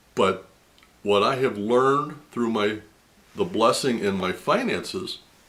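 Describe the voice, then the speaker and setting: Using a plain, everyday voice, a man speaks fairly slowly at a medium pitch, with lively intonation. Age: 60s. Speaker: video blogger sharing faith testimony. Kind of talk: personal testimony monologue.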